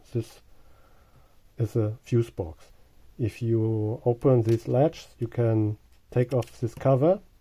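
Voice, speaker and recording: Speaking very slowly in a German accent, a man has a medium-pitched voice with a dark, mellow tone. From Germany. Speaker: car owner. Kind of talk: tutorial. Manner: halting.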